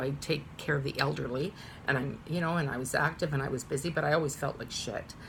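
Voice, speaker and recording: A woman with a very deep, low pitch talks at a very fast pace, somewhat breathy and with fairly even intonation. Audible room echo surrounds her voice. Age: 50s. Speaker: vlogger. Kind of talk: casual chat. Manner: halting; talkative.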